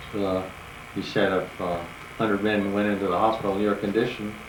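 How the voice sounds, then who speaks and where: Audible room echo and noticeable background noise surround this recording. A man speaks in a fairly low pitch. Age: 70s. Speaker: retired farmer recalling his life. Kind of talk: personal reminiscence told to family. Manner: halting, many fillers.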